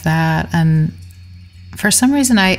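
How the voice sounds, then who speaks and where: Over music in the background, a woman with an American accent speaks at a very slow pace. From New York City. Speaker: songwriter. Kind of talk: casual interview.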